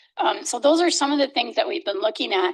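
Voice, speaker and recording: A woman speaks with very wide pitch swings. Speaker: architect/planning consultant. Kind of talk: presentation. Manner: fast.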